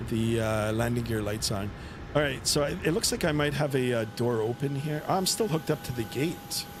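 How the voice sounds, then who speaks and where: With a Canadian accent, a man speaks at a medium pitch and a moderate pace. He shows ordinary pitch variation against noticeable background noise. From Canada, southern Ontario. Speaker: flight sim streamer, pilot. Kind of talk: live stream commentary. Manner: casual, hesitant with many fillers.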